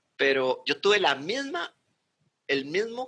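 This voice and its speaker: A man's bright, sharp tone with lively intonation. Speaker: channel host and interviewer. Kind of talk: casual interview conversation. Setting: video call (Zoom), recorded remotely.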